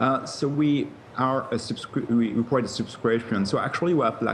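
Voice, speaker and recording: There is noticeable background noise as a man talks with a French accent. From France. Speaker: tech company co-founder and CEO. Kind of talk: TV interview. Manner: halting, many fillers.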